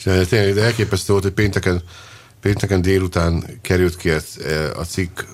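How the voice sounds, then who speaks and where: Despite long, frequent pauses, a man keeps a fairly quick pace, his very deep, low pitch held at a very even loudness. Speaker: football podcast host. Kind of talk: casual chat. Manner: animated.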